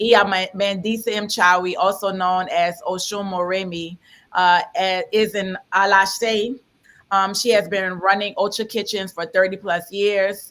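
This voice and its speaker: With a New Orleans accent, a woman speaks at a fairly slow pace in a medium pitch, her tone bright and sharp and her intonation fairly even, on a very clean recording with a silent background. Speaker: panel moderator. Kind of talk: panel introduction and moderation.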